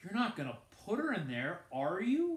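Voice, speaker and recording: In a put-on character voice, a man speaks at a moderate pace, high-pitched and shaky, with very wide pitch swings. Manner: anxious, pleading.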